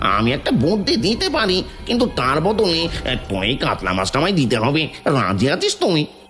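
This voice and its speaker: A cartoonish character voice at a middle pitch with very wide pitch swings, a moderate pace and clear background noise. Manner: blustering, rough, uses rude "tui" address.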